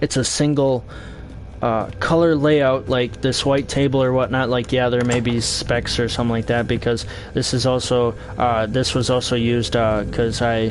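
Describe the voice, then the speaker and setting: Against noticeable background noise, the voice moves at a moderate pace with very even loudness and fairly even intonation. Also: man, medium pitch for a man. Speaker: video game streamer. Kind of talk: live gameplay stream chat. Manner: halting, many fillers.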